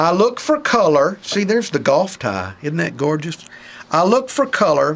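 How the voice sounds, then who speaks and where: With a Southern US accent, a man talks at a high pitch with very wide pitch swings against noticeable background noise. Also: moderate pace. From Mobile, Alabama. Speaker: radio personality. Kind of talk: comedic advice talk.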